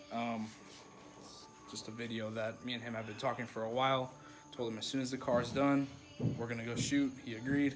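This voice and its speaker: Over music in the background, a man speaks at a fairly quick pace and medium pitch, with monotone, flat intonation and long, frequent pauses. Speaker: car enthusiast vlogger. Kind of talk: casual vlog chat.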